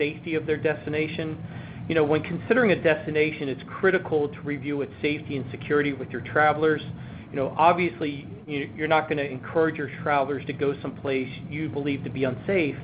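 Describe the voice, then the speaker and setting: Against noticeable background noise, a man with an American accent speaks at a fairly quick pace. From US, Baltimore. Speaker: travel insurance presenter. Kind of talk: webinar presentation. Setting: webinar. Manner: frequent fillers.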